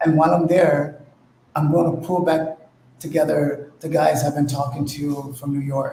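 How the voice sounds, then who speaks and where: There is audible room echo as a man speaks at a moderate pace. He has a fairly high pitch and fairly even intonation. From England, London. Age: old. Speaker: locking dancer, guest. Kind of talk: casual chat.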